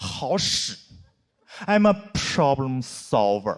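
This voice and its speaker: A man is speaking. He has a Northeastern Chinese accent. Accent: Northeastern Mandarin. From Northeast China. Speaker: stand-up comedian. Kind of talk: stand-up comedy set.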